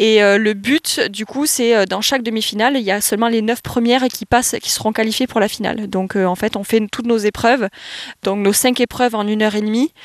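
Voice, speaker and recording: Fairly high in pitch, a woman with an ordinary speaking voice talks at a fairly quick pace with fairly even intonation in a dry, close sound with no echo. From southwest France, Landes. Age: 20s. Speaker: athlete. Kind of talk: interview.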